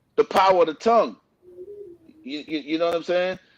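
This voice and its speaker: Ordinary pitch variation at a fairly quick pace. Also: man. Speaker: author and former R&B singer. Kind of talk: in-depth interview. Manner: halting, repeats words.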